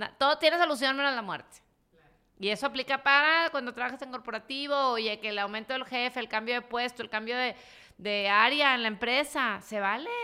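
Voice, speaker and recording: With a Mexican accent, a woman speaks at a high pitch in a bright, sharp tone, at a fairly quick pace with ordinary pitch variation. Her loudness swings widely, and the recording is very clean with a silent background. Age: 40s. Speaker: entrepreneur and investor. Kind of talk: casual interview.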